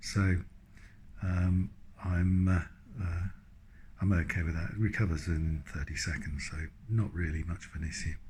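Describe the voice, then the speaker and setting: The voice is somewhat breathy, with fairly even intonation. Long, frequent pauses break up the speech. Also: man, very deep, low pitch for a man, moderate pace. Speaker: patient receiving cancer treatment. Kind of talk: video diary talk to camera. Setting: hospital room. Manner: monotone; hesitant, many fillers.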